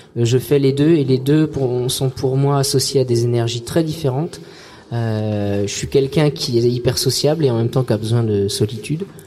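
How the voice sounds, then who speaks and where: A man with a medium-pitched voice and ordinary pitch variation speaks at a moderate pace while noticeable background noise carries on. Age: 30s. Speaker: singer and comic artist. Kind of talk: casual interview. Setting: outdoor event, live radio. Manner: halting, many repetitions.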